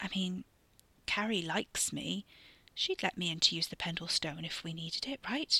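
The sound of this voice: In a dry, close sound with no echo, a put-on character voice with a bright, sharp tone, a slightly husky edge and vocal fry moves at a moderate pace with lively intonation.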